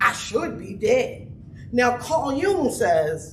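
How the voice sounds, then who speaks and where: A woman talks at a high pitch with very wide pitch swings. There is audible room echo and noticeable background noise. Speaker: trauma expert speaker. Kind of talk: conference talk. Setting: stage with audience. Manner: loud; animated.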